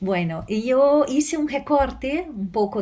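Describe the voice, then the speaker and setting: A woman with a Portuguese accent speaks in a dark, mellow, somewhat breathy tone with lively intonation, with audible room echo. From Brazil. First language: Portuguese (speaking Spanish). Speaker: law professor. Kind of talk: conference talk. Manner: hesitant, many fillers.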